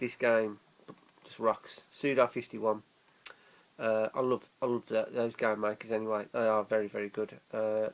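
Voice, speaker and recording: A man with an English accent, medium pitch, moderate pace and monotone, flat intonation. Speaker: gaming YouTuber. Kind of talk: casual vlog. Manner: slurred.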